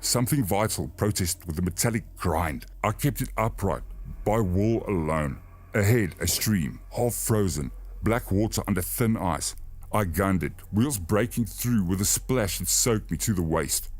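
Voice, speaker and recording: In a calm tone with lively intonation, a man talks at a moderate pace with a fairly low pitch and vocal fry. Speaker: narrator. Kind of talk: horror story narration for sleep. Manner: steady, calm.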